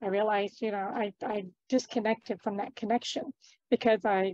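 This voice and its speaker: A woman's fairly high-pitched voice, dry with no echo, over a quiet background. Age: 50s. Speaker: entrepreneur and talk show host. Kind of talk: interview conversation. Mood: reflective, earnest. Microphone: video call.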